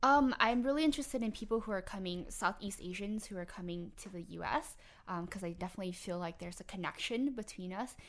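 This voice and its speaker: The delivery is very fast, with lively intonation and big swings in loudness. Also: woman, medium pitch for a woman. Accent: Vietnamese. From New Orleans West Bank, raised from age 8; early childhood Philippines and Vietnam. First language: Vietnamese. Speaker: public health doctoral student. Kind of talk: interview.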